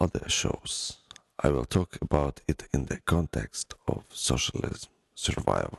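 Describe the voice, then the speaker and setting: Fairly slowly and with vocal fry, a man speaks with ordinary pitch variation in a dry, close sound with no echo. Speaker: podcast host. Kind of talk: solo podcast monologue.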